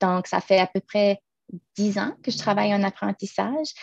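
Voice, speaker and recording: In a New Brunswick accent, a woman talks at a fairly slow pace with ordinary pitch variation. The sound is dry and close, without echo. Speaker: public service manager. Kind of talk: panel presentation. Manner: halting, repeats words.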